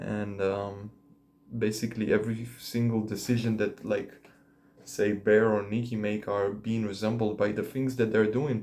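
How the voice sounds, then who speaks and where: At a moderate pace, this voice carries a dark, mellow tone and a monotone, flat intonation, with a non-native accent. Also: man, fairly low pitch for a man. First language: not English. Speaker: vlogger. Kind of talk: casual monologue to camera. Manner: hesitant, many fillers.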